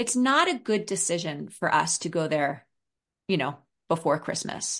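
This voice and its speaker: Against a quiet background, a woman with a New York accent speaks at a fairly slow pace, her pitch swinging very widely. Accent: New York American. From New York City (Brooklyn). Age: 50s. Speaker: parenting and maternal mental health expert. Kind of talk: podcast interview.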